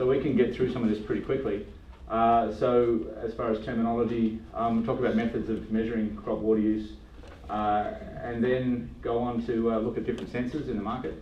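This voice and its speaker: A man talks in an Australian accent with fairly even intonation. Audible room echo and noticeable background noise surround him. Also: medium pitch for a man, fairly quick pace. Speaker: agronomist giving a talk. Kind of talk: lecture. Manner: casual with many fillers.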